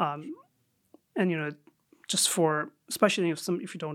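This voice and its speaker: With a Chicago accent, a man talks in a fairly high voice. His intonation stays fairly even. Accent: American (Chicago area). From Saudi Arabia, then Chicago suburbs from sixth grade. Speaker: Islamic scholar and jurist. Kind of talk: casual interview.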